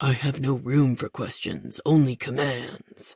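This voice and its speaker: A put-on character voice sounds raspy at a low-to-middle pitch. It moves at a fairly slow pace. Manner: mocking, imperious.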